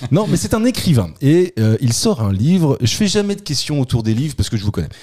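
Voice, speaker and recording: A man's somewhat breathy voice at medium pitch, dark and mellow in tone, with very wide pitch swings and a fairly quick pace. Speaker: podcast host, quizmaster. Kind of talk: casual chat, comedy quiz podcast.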